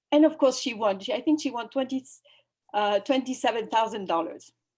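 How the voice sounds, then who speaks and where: In a French accent, a woman speaks at a high pitch with lively intonation. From France. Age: 50s. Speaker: activist and spiritual guide. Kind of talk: online summit talk. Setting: video call. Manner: halting.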